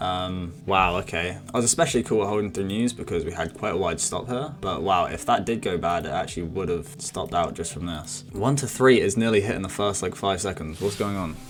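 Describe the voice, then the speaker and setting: A man talks at a very fast pace in a fairly low pitch. Background noise is noticeable. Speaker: forex trader. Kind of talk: live trading commentary. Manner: animated.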